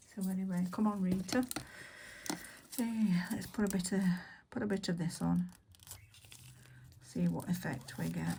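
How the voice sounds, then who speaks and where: A woman speaks at a moderate pace and medium pitch, her intonation lively, her tone dark, mellow and somewhat breathy. Long, frequent pauses break her speech, and room echo is audible. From Yorkshire, northern England. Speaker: nail artist, video creator. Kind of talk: casual tutorial chat while working. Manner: rambling, hesitant with many fillers.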